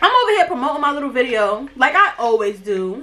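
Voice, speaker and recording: An animated woman's voice with an American accent and very wide pitch swings, over noticeable background noise. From New York, Brooklyn. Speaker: YouTuber. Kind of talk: storytime vlog while doing makeup. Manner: aggressive-sounding.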